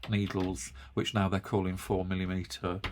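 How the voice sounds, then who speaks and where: The speaker has an English accent, a moderate pace, and monotone, flat intonation. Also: man. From UK. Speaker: yarn craft video host. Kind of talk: casual chat. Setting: home studio. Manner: halting.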